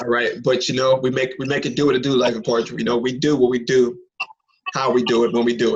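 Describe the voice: A man's fast speech with a slightly husky edge and little pitch movement.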